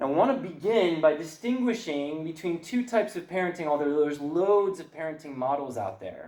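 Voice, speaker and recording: The man's voice moves through very wide pitch swings. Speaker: parenting seminar speaker. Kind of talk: lecture. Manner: fast; animated.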